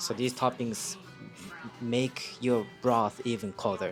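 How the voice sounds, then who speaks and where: Music plays in the background as a man speaks with a Japanese accent. His pitch is medium and his pace fairly slow. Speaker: food reviewer. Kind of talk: casual food review to camera. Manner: hesitant, many fillers.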